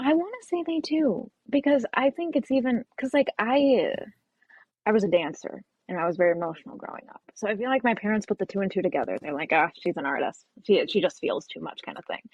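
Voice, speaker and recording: Very wide pitch swings at a fairly quick pace, with an American accent and vocal fry. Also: woman, fairly high pitch for a woman. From Chicago suburbs, Illinois. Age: 20s. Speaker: social media comedian. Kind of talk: casual chat.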